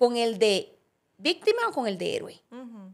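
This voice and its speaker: A woman with a Costa Rican accent speaks at a moderate pace over a quiet background. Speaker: podcast co-host. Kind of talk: casual conversational podcast chat. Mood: reflective, earnest. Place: studio. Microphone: studio mic.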